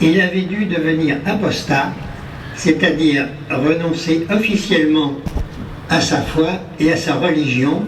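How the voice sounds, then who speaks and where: A man speaks at a very slow pace and fairly high pitch, with long, frequent pauses. Music plays in the background and the room echo is audible. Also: very even loudness. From France, Paris and Auvergne. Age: 90s. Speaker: war veteran. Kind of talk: ceremony speech. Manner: formal.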